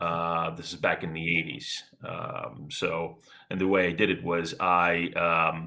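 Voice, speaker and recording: A man speaks in a bright, sharp tone at a very deep, low pitch. The recording is very clean, with a silent background. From Ukraine, emigrated to US at twelve. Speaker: blockchain business development manager. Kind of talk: interview. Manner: hesitant, many fillers.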